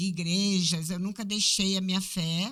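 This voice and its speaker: In an ordinary speaking voice, a woman talks at a fairly slow pace, her medium pitch held in fairly even intonation. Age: 60s. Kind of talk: podcast interview.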